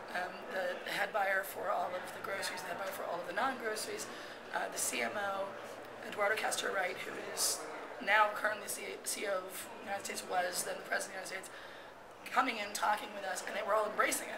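Noticeable background noise fills the recording. Over it, a woman speaks at a very fast pace. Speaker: interviewee. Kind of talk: interview answer. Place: hall.

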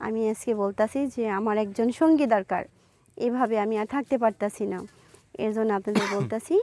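A woman's fairly high, dark and mellow voice with ordinary pitch variation, dry and close with no echo, on a very clean recording over a silent background. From Bangladesh, Manikganj. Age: 20s. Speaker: young woman seeking marriage. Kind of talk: interview.

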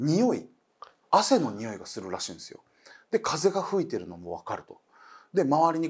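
Against a quiet background, a man talks at a moderate pace with very wide pitch swings. Vocal fry runs through his voice. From Okinawa; Japan. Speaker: comedian and ghost story teller; comedian, ghost story teller. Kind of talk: storytelling. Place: studio.

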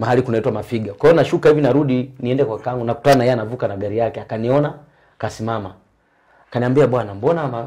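Over a quiet background, a man with a medium pitch and a dark, mellow, somewhat breathy tone talks at a very fast pace with ordinary pitch variation. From Tanzania, Shinyanga region; Tanzania. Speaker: former choir singer; interview guest. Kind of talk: testimony. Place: home room. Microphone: lapel.

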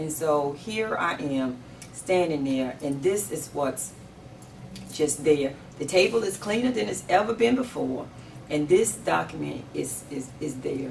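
A woman's very deep, low voice with very wide pitch swings, at a fairly slow pace over light background noise. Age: 50s. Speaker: sheriff candidate. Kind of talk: interview. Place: home room.

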